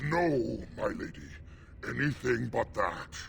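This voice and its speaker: A man's put-on, growling character voice at a fairly slow pace, with clear background noise. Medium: video game. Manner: aggressive, bitter.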